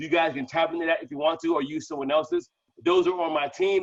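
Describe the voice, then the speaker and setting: This man speaks loudly and very fast, his fairly high pitch held in a fairly even intonation. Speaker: crypto promoter. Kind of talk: online group Q&A.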